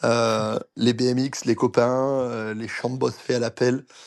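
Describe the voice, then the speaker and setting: A man speaks very slowly in a monotone with flat intonation. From France, Basque Country. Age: 30s. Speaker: former pro cyclist, coach. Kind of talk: interview conversation. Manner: hesitant, many fillers.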